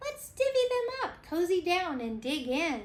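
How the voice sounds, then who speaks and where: A squeaky, put-on character voice with very wide pitch swings. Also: woman. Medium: read story.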